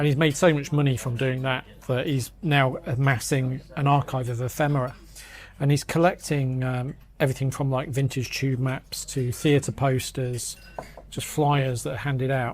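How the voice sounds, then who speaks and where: Somewhat breathy and at medium pitch, a man speaks at a moderate pace with monotone, flat intonation. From northern England, Grimsby (Lincolnshire). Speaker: London magazine editor. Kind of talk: casual chat. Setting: pub. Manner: halting.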